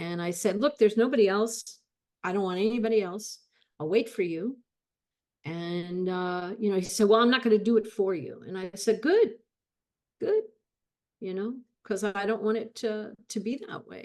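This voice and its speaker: With a West Coast accent, a woman talks at a fairly high pitch, her loudness swinging widely between long, frequent pauses. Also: ordinary pitch variation, moderate pace. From Los Angeles, California. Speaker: guest. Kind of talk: testimony. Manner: halting, many repetitions.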